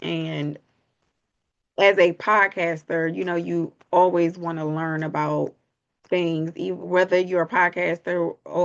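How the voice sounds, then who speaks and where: A woman's very slow, monotone, flat delivery against a quiet background. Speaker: podcaster. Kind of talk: vlog monologue. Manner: soft-spoken.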